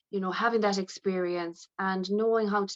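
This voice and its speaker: In a western Irish accent, a woman talks at a medium pitch with fairly even intonation. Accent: Irish, west of Ireland. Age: 60s. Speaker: aesthetics nurse. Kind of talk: interview.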